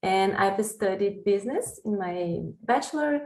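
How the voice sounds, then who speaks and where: Here a woman speaks at a medium pitch with a Brazilian accent. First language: Portuguese. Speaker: PhD researcher in food sustainability. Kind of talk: podcast interview. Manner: halting.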